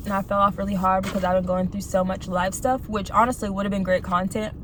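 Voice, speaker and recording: A woman's medium-pitched, monotone voice at a moderate pace, with flat intonation and noticeable background noise. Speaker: video blogger. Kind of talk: casual monologue while eating. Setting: in a car in a parking lot. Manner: soft-spoken; halting, lots of fillers.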